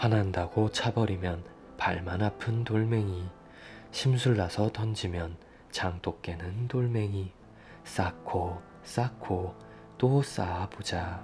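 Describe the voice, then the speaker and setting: Over music in the background, a man talks in a calm tone at a very deep, low pitch, with ordinary pitch variation. His pace is very slow, with long, frequent pauses. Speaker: storyteller. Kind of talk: bedtime story reading. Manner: soft, calm.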